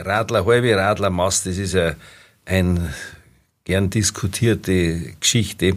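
On a very clean recording with a silent background, the speech goes very slowly with long, frequent pauses and fairly even intonation. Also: man, very deep, low pitch for a man. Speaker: dialect expert and professor. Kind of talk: casual expert chat.

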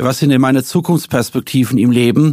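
This man speaks at a medium pitch and a fairly quick pace. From Rhineland-Palatinate, Worms area. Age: 50s. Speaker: businessman and politician. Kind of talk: interview. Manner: hesitant filler sounds.

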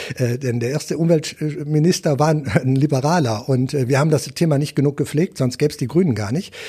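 This man's fairly high voice shows ordinary pitch variation as he talks at a fairly quick pace. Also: hardly any pauses. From Wuppertal, Germany. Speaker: politician, member of parliament. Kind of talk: interview. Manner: hesitant, many fillers.

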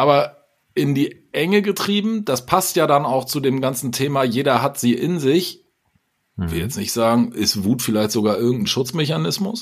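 A man's fairly high voice with very wide pitch swings, in a very clean recording with a silent background. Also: moderate pace. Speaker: podcast co-host. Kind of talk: casual chat. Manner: energetic.

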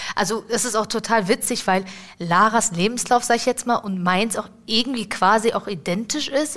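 With fairly even intonation, the female speaker keeps a moderate pace. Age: 20s. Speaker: apprentice in dialogue marketing. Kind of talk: casual interview. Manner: halting.

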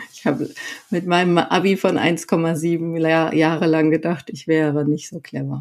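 Speech comes fairly slowly, its intonation monotone and flat. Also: woman, fairly low pitch for a woman. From Sauerland, North Rhine-Westphalia, Germany. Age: 30s. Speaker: coach. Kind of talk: personal interview.

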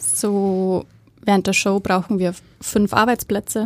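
A woman with a slight Bavarian accent at a very slow pace, medium in pitch and monotone, in a dry, close sound with no echo. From Bavaria, Germany. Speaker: head of theatre make-up department. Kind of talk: casual interview. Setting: studio. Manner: hesitant, many fillers.

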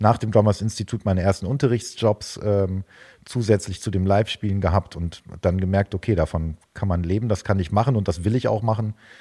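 A somewhat breathy, dark, mellow tone in a dry, close sound with no echo. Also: man. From northwestern Germany, Osnabrück. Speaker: drummer and drum teacher. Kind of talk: interview. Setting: video call.

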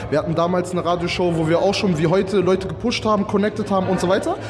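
A man talking at a very fast pace with ordinary pitch variation, amid noticeable background noise and audible room echo. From Lower Saxony, Germany (Salzgitter). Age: 20s. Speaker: event organiser. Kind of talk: interview. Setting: outdoors at a fair.

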